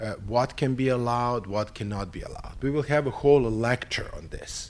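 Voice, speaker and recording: With a Serbian accent, a man at a medium pitch talks at a fairly quick pace, using ordinary pitch variation and big swings in loudness. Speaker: psychiatry professor. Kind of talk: conference opening talk / lecture. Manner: halting, with fillers.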